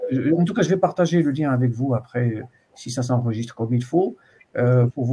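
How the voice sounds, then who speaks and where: A man speaks at a medium pitch with ordinary pitch variation. His tone is dark and mellow, and his voice is somewhat breathy. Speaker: university supervisor. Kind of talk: student supervision session. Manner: fast; hesitant, many fillers.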